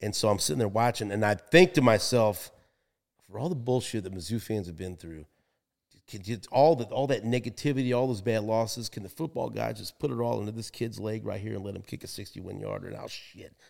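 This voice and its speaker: A man with an American accent speaks at a fairly quick pace and fairly low pitch, with vocal fry, lively intonation and big swings in loudness. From Kansas City, Missouri. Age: 50s. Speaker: sports radio host. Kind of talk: casual chat. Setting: studio.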